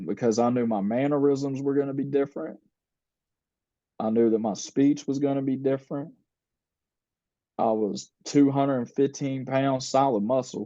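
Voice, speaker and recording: A man's medium-pitched, dark and mellow voice at a moderate pace, with fairly even intonation, long, frequent pauses and a quiet background. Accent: American. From United States. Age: 30s. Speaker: former prisoner sharing life story. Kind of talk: podcast interview, personal testimony. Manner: casual, conversational with many fillers.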